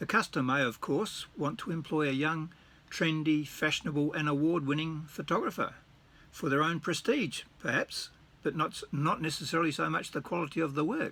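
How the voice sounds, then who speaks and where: Here a man speaks with an Australian accent at a fairly high pitch. His tone is bright and sharp, with ordinary pitch variation. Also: moderate pace. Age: 70s. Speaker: retired wedding photographer. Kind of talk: casual vlog, partly reading aloud from his blog. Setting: at home, reading from his computer. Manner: halting, with repeated words.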